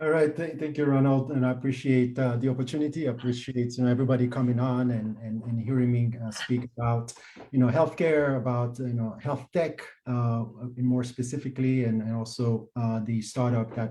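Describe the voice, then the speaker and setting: With a Haitian accent, the speaker talks at a fairly quick pace in a dark, mellow tone with fairly even intonation. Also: man, medium pitch for a man. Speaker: health tech startup co-founder. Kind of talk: webinar interview. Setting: video webinar. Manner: halting, many fillers and repeats.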